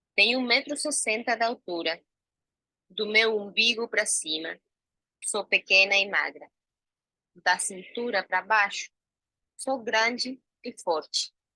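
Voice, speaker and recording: At a very slow pace with long, frequent pauses, a woman with a fairly high, bright, sharp voice speaks with ordinary pitch variation in a dry, close sound with no echo. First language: Spanish (speaking Portuguese). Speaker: actress and researcher. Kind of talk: self-description presentation.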